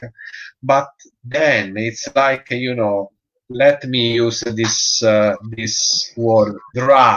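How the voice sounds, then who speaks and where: A man with an Italian accent speaks very slowly at a medium pitch with fairly even intonation. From Italy. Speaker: dog breeder and show judge. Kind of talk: interview. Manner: halting, many hesitations.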